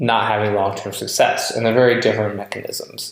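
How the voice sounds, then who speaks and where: A man speaks. His voice is quiet. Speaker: online marketing coach. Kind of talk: screen-recorded tutorial. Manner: casual, thinking aloud.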